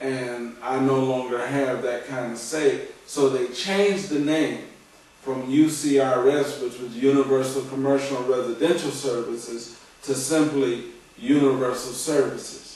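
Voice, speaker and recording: This man's intonation stays fairly even. Room echo is audible, and background noise is noticeable. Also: medium pitch for a man, fairly slow pace. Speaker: former religious community member. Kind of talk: testimony. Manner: slow; halting.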